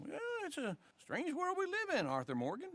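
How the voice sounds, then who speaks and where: A man does a put-on character voice at an extremely high pitch and a fairly quick pace. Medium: video game.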